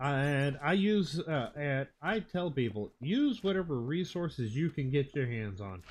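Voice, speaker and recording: Mumbling at a fairly slow pace, the speaker's voice moves through very wide pitch swings. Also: man. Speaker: Minecraft streamer. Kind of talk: live gameplay stream. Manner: mumbling to himself; halting, thinking aloud.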